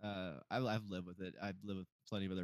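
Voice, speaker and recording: A man talking at a very fast pace. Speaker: podcast co-host.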